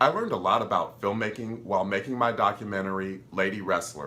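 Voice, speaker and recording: A man's fairly low voice shows ordinary pitch variation as he talks at a moderate pace. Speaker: filmmaker and video creator. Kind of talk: tutorial. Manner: animated, enthusiastic.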